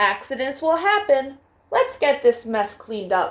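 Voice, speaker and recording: A put-on character voice from a woman: high in pitch, swinging very widely, moderate in pace. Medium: read story.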